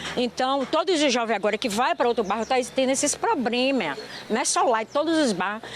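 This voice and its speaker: A woman speaks with a fairly high pitch and very wide pitch swings. Noticeable background noise runs beneath her voice. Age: 60s. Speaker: neighbor of crime victim. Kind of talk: street interview.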